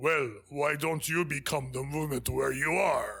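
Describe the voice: A raspy put-on character voice from a man, fairly high in pitch, with fairly even intonation at a moderate pace.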